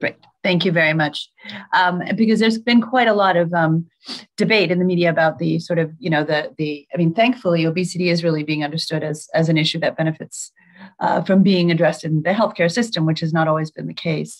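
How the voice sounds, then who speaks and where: A woman talks very fast in a fairly low voice with ordinary pitch variation. The background is quiet. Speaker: nonprofit chief executive moderating a webinar; webinar moderator. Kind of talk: webinar moderation. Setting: video call. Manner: frequent fillers, hesitant. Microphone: video call.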